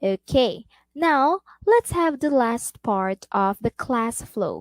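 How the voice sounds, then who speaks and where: In a dry, close recording with no echo, a woman with a Filipino accent speaks with lively intonation. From Philippines. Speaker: online English tutor. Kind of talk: role-play demo lesson; tutorial. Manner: animated.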